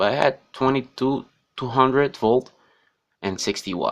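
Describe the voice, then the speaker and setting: This man speaks at a fairly slow pace with a non-native accent. His pitch sits in the medium range and varies in an ordinary way. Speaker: tech reviewer. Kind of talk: unboxing tutorial. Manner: halting.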